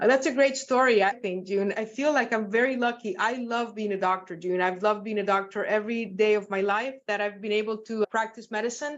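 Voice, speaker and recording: A woman with a Spanish accent speaks at a fairly quick pace. Her pitch is fairly high and her intonation fairly even. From Nicaragua, then Seattle from age ten. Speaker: physician and medical professor. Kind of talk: interview. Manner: warm, articulate.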